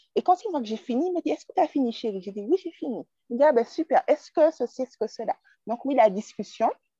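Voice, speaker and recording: Very fast and high-pitched, a woman's dark, mellow voice makes very wide pitch swings and big swings in loudness, with a dry, close sound and no echo. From Martinique. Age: 20s. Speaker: craft entrepreneur. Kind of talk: casual chat.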